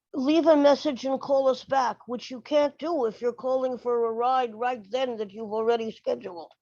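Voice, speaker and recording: A woman talks at a moderate pace in a high pitch with a dark, mellow tone. The background is quiet. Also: ordinary pitch variation, hardly any pauses. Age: 70s. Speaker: transit rider giving public comment. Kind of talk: public comment at board meeting.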